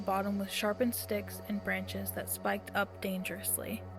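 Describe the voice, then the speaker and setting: A woman at a fairly quick pace, with music in the background. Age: young. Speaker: storyteller. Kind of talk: reading aloud.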